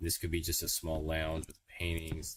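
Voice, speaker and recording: A man with an American accent speaks at a very deep, low pitch. His voice is somewhat breathy. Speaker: gaming streamer. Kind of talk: casual live-stream commentary while gaming. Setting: home livestream on a laptop. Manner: casual, hesitant, thinking aloud. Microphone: laptop microphone.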